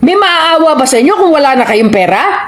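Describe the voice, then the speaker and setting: Over noticeable background noise and audible room echo, a woman speaks at a moderate pace in an animated tone with lively intonation. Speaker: overseas Filipino worker. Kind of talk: commentary. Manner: loud.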